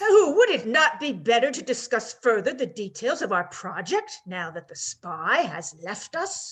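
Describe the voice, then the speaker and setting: A female-sounding put-on character voice, high in pitch, swings very widely up and down. Hardly any pauses break the speech. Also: moderate pace. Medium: audio drama.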